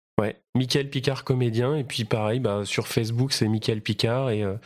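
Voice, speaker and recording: A man speaks at a medium pitch and a moderate pace, keeping his intonation fairly even. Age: 30s. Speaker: stage actor. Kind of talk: casual interview chat. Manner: halting, many fillers.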